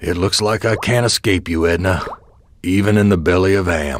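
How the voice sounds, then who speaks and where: A put-on character voice from a man, raspy and very deep, at a moderate pace with very even loudness and fairly even intonation. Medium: video game. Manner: weary, bitter.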